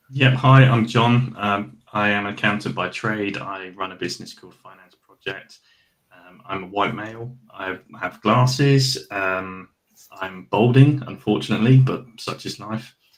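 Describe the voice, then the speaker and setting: With a normal speaking voice, a man talks at a fairly slow pace and a fairly low pitch, showing ordinary pitch variation and big swings in loudness. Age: 40s. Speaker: accountant. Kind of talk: panel discussion.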